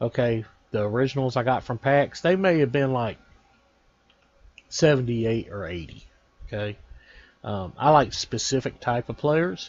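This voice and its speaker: A man with a Texan accent at medium pitch, moderate pace and lively intonation, with long, frequent pauses. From Texas. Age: 40s. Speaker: gaming YouTuber. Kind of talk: casual video commentary.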